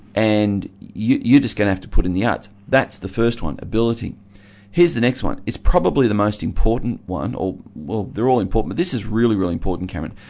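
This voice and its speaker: Lively in intonation, a man with an Australian accent talks at a fairly quick pace. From Australia, Geelong (Victoria). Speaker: pastor and regular radio commentator. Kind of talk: radio discussion. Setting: radio studio.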